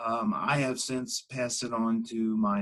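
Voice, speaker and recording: This man's medium-pitched voice moves through very wide pitch swings. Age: 60s. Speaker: patient sharing his experience. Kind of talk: interview. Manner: halting, many fillers.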